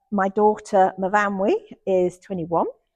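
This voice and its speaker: A woman with a Lancashire accent speaks at a medium pitch. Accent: Lancashire lilt. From southwest Lancashire, England. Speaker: theatre nurse and trainee priest. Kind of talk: casual interview. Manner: energetic.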